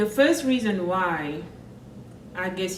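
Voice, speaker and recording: A woman with a Senegalese accent at a very slow pace, medium pitch and ordinary pitch variation, amid noticeable background noise and audible room echo. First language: French. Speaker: vlogger. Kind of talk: personal vlog monologue.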